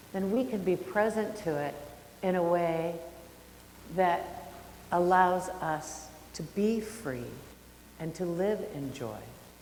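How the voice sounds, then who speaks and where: Very slowly and with long, frequent pauses, a woman speaks at medium pitch with ordinary pitch variation in a room with audible echo. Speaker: minister. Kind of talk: sermon. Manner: loud.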